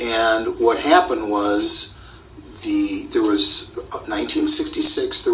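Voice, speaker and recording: A man with an American accent talks at a fairly slow pace against noticeable background noise. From northern Illinois. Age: 60s. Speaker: eyewitness interviewee. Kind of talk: oral history interview. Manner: halting, repeats words.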